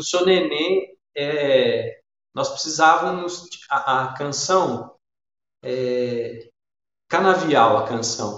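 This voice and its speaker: With a strong Minas Gerais accent, a man talks at a very slow pace, leaving long, frequent pauses. His pitch is fairly high, with ordinary variation. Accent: strong Minas Gerais (mineiro). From Minas Gerais, Brazil. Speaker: musician, storyteller and art educator. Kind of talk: interview conversation. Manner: halting, many repetitions and false starts.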